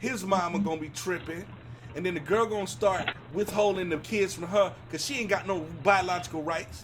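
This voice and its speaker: Over noticeable background noise, a man speaks loudly at a high pitch with ordinary pitch variation. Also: fairly quick pace. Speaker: talk show host. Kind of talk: casual chat. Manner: animated.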